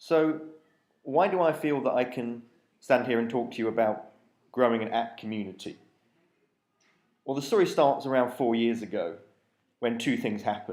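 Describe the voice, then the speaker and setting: With a British accent, a man speaks with ordinary pitch variation and long, frequent pauses, and audible room echo surrounds him. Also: medium pitch for a man, moderate pace. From UK. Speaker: app developer, conference speaker. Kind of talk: conference talk.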